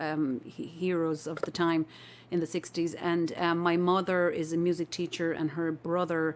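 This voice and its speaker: In an Irish accent, the speaker moves at a moderate pace. The intonation stays monotone and flat. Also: woman, fairly low pitch for a woman. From Ireland, near Limerick. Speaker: folk musician. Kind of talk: casual interview chat.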